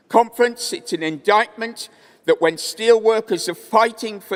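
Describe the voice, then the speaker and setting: The speaker is a man. He has a Welsh accent. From Wales. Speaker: trade union delegate. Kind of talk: conference speech.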